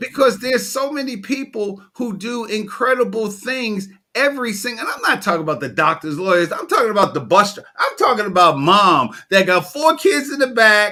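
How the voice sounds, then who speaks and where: This man has an American accent and a high pitch, using an animated, raised, projected voice with a bright, sharp tone, lively intonation and a moderate pace. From New York. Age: 60s. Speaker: storytelling coach. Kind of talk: interview.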